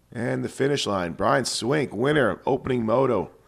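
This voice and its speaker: A man speaks with very wide swings in pitch. His voice carries vocal fry. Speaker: motocross podcast host, former mechanic. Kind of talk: casual race commentary.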